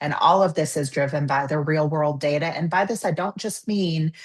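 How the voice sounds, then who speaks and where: Against a quiet background, a woman speaks in a very deep, low, somewhat breathy voice. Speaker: webinar presenter. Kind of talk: webinar presentation. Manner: fast.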